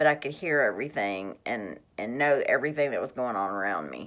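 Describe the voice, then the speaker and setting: A woman's very deep, low voice with vocal fry and lively intonation, on a very clean recording with a silent background. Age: 40s. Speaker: vlogger sharing health experience. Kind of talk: personal testimony vlog. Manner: halting, many fillers.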